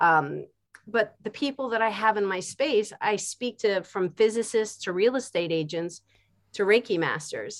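A woman with an American accent, a plain, everyday voice, moderate pace and ordinary pitch variation. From Philadelphia, US. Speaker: art teacher. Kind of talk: interview.

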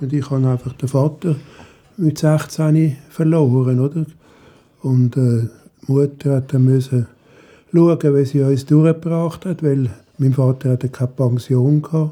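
Speaking at a fairly slow pace with long, frequent pauses, a man has a fairly high, somewhat breathy voice with a dark, mellow tone and fairly even intonation. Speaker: retiree. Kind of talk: personal storytelling.

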